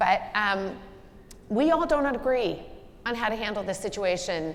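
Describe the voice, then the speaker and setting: The intonation is lively. There is audible room echo. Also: woman. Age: 60s. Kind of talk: onstage leadership conversation.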